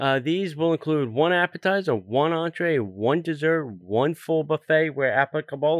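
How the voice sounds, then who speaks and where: Recorded with a dry, close sound with no echo, a man talks at a fairly slow pace. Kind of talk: heated rant, indignant retelling of a Disney dispute. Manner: indignant, animated, mimicking the quoted voices.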